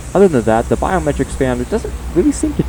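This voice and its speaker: With music in the background, the talking moves at a very fast pace. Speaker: gaming YouTuber. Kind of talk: tutorial. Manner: halting.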